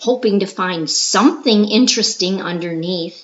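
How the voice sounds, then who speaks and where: A woman speaks at a fairly slow pace in a dramatic tone. Her intonation is lively. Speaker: storyteller. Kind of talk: story reading.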